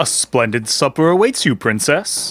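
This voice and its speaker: Someone uses a put-on character voice at a low-to-middle pitch. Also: moderate pace. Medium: audio drama.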